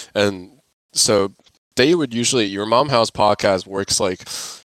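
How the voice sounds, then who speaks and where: A man speaks at a fairly slow pace, his pitch very deep and low with ordinary variation. The sound is dry and close, with no echo. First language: not English. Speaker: art student podcast co-host. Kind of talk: casual chat. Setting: dorm lounge. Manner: halting.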